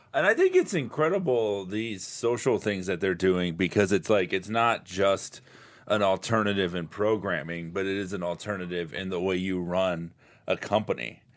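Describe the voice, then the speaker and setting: With an American accent, this speaker has an ordinary speaking voice, a moderate pace and ordinary pitch variation. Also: man, fairly low pitch for a man. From South Florida. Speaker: comedian. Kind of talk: casual chat. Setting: studio.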